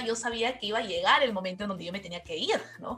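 With noticeable background noise behind her, this woman delivers her words very fast. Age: 20s. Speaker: graduate student. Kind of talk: casual interview.

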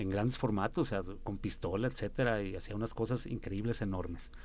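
A man's medium-pitched, an ordinary speaking voice at a moderate pace. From Mexico, San Luis Potosí. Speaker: musician. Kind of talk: radio interview.

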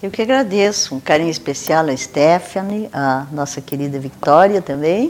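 The speech has lively intonation at a moderate pace, with hardly any pauses. Noticeable background noise runs underneath. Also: woman, very deep, low pitch for a woman. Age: 70s. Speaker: retired teacher and cultural figure. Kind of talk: interview.

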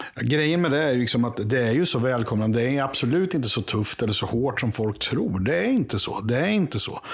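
Against noticeable background noise, a man talks at a fairly quick pace and medium pitch, with lively intonation, hardly any pauses, and very even loudness. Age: 50s. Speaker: podcast panelist, longtime supporter. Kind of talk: casual chat.

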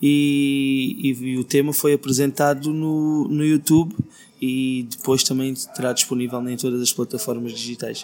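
Over music in the background, a man with a medium pitch speaks at a fairly slow pace with fairly even intonation. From Portugal, Alentejo (Beja). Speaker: singer-songwriter. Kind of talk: interview.

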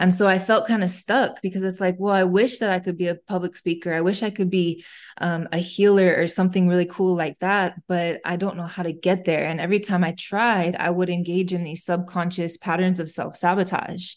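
A woman with an American accent speaks at a fairly quick pace in monotone, flat intonation. The background is quiet. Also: medium pitch for a woman, hardly any pauses. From US Midwest, Flint, Michigan. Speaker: intuitive healer. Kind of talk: interview.

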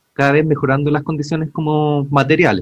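A man with a Chilean accent. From Chile, Santiago (Pudahuel). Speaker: podcast co-host, archaeologist. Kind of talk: casual chat.

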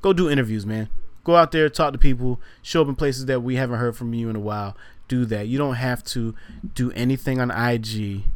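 At a fairly quick pace, a man speaks with an American accent. His medium pitch has ordinary variation. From Virginia. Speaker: podcast co-host. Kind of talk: casual chat. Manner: animated.

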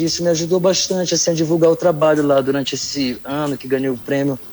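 There's noticeable noise behind the speaker. The man keeps his intonation fairly even. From Brazil, São Luís, Maranhão. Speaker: singer-songwriter. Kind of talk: interview. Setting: online remote call.

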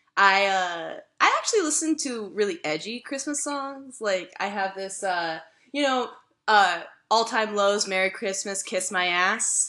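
At a fairly slow pace, a woman of medium pitch speaks in an animated, bright and sharp tone. Her intonation is lively. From Mississippi. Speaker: podcast host, journalist. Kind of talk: casual comedic chat. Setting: remote recording, cat nearby. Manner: animated, joking.

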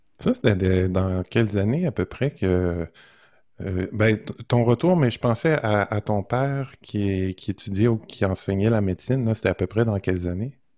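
Dark and mellow in tone, the voice moves at a fairly slow pace with ordinary pitch variation, heard as a dry, close sound with no echo. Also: man, fairly low pitch for a man, very clean recording, silent background. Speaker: podcast and radio host. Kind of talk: casual interview conversation.

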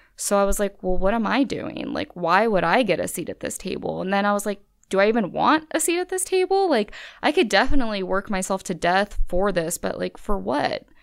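In a very clean recording with a silent background, a woman speaks with an American accent at a fairly quick pace. She has an ordinary speaking voice, medium in pitch, with lively intonation. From California. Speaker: law student. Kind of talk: interview. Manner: casual, filler-heavy.

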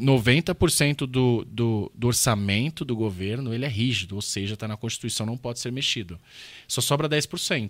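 In a very clean recording with a silent background, a man with a plain, everyday voice speaks at a fairly slow pace, with a medium pitch and ordinary pitch variation. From Brazil. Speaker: economist, political candidate. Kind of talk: casual interview chat.

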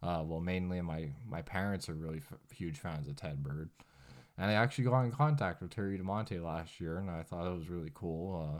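On a very clean recording with a silent background, a man talks at a moderate pace in a very deep, low pitch with ordinary pitch variation. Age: 20s. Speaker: podcast host. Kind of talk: casual monologue. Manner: rambling with fillers.

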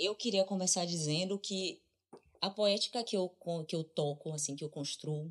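Heard on a very clean recording with a silent background, an ordinary speaking voice moves at a moderate pace with ordinary pitch variation. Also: woman. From Brazil. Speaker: interdisciplinary artist and drummer. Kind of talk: casual chat.

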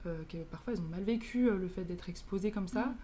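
In a room with audible echo, a woman speaks at a medium pitch with a dark, mellow, somewhat breathy tone and fairly even intonation. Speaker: podcast host, student. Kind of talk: podcast interview. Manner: halting.

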